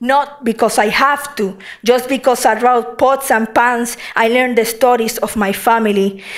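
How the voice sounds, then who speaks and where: Her voice is high for a woman, with a Puerto Rican accent and fairly even intonation. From Puerto Rico. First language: Spanish. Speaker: poet. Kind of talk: poetry reading.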